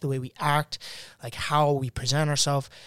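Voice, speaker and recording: A man talks at a fairly quick pace in an unremarkable speaking voice, pitched medium. The recording is very clean with a silent background, the sound dry and close with no echo. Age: 20s. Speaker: guest, Gen Z young adult. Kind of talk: casual panel conversation.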